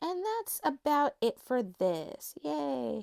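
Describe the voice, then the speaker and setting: A woman whose pitch swings very widely. The recording is very clean with a silent background and a dry, close sound free of echo. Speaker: doll collector and vlogger. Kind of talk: casual collection showcase monologue. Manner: rambling with frequent fillers and repetitions.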